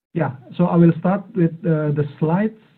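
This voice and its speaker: A man with an Indonesian accent talks at a moderate pace with fairly even intonation. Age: 40s. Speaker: AI and robotics expert speaker. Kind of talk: online talk. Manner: hesitant, many fillers. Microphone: too quiet, headset.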